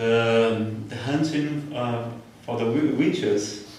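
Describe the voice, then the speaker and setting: Over noticeable background noise and audible room echo, a man talks at a very slow pace with ordinary pitch variation. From Brazil, Ceará. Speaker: spiritualist lecturer. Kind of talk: lecture. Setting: spiritualist church. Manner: halting, many fillers and repetitions.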